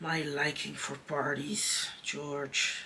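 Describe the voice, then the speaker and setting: Over clear background noise, a man puts on a raspy character voice, fairly high in pitch and monotone, with flat intonation. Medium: read story. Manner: soft, tender.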